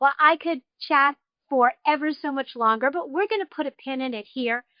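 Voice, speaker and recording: With a slight New York accent, a woman speaks at a moderate pace in a high pitch with lively intonation. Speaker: podcast host. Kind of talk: interview.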